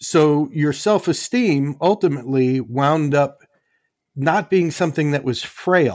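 Here is a man with an ordinary speaking voice and a fairly high pitch. He goes at a fairly slow pace, his loudness very even. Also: ordinary pitch variation. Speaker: former airline pilot. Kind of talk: casual chat. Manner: sarcastic.

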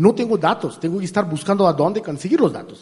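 A man is speaking. His pace is very fast. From India. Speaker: artificial intelligence expert. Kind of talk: interview. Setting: live forum event with audience. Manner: halting, repeats words.

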